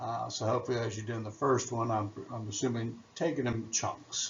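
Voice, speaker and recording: A man is talking, and audible room echo surrounds his words. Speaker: biology teacher. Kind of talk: recorded lecture.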